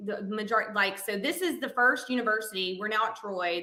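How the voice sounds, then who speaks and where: A woman with a Southern accent speaks at a fairly high pitch with fairly even intonation. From Alabama (Montgomery). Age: 30s. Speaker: counselor and coach's wife. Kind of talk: casual interview chat. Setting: podcast interview.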